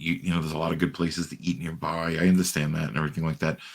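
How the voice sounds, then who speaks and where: Very deep and low, a man's voice rushes along at a very fast pace with fairly even intonation. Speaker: wrestling ring announcer. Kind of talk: interview answer.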